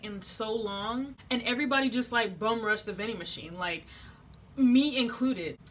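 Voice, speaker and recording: A woman's animated, fairly high voice with ordinary pitch variation. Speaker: vlogger, air force trainee. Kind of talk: storytime vlog. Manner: fast.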